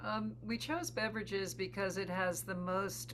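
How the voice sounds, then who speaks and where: There is audible room echo as a woman speaks at a fairly slow pace with vocal fry. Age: 70s. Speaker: psychotherapist and beverage company co-founder. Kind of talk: interview. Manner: hesitant, many fillers.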